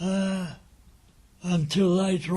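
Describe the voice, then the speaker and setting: A man's high-pitched voice, dark and mellow in tone, with an Essex accent. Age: 80s+. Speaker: wartime eyewitness. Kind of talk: oral history recollection.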